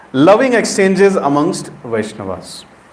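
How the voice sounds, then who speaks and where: The speaker has an Indian accent and very wide pitch swings at a fairly slow pace. Audible room echo and noticeable background noise come through. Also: man. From India, Uttar Pradesh. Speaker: preacher. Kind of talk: sermon.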